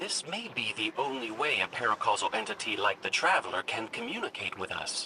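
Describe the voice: Doing a put-on character voice, a man speaks fairly quickly in a bright, sharp tone, fairly low in pitch but with big pitch swings, over faint background noise.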